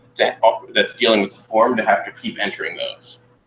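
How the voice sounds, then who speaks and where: Very fast-talking man amid noticeable background noise. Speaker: college instructor. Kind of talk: lecture.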